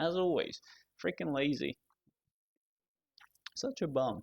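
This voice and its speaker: A man speaks with a non-native accent. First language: not English. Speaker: gaming streamer. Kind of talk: casual live-stream chat. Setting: hot room, streaming alone. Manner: rambling, halting with many fillers.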